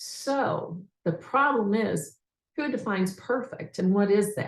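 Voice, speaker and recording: With an American accent, a woman speaks at a fairly slow pace in a medium pitch, somewhat breathy and with lively intonation. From United States. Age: 60s. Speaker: leadership development coach. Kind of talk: testimony.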